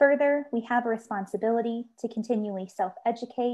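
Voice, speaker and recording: A dark, mellow tone at a fairly quick pace, with ordinary pitch variation and a quiet background. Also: woman. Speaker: association staff host. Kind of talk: webinar opening remarks. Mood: warm, friendly, earnest. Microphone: earbuds.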